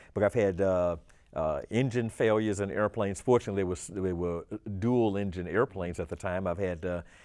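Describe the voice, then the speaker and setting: In an ordinary speaking voice, a man talks at a fairly quick pace with fairly low pitch and fairly even intonation over a quiet background. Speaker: retired navy pilot and astronaut. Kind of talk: interview.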